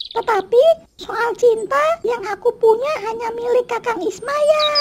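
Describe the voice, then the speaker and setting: Fairly slow pacing in a cartoonish character voice. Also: woman. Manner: soft, earnest, pleading.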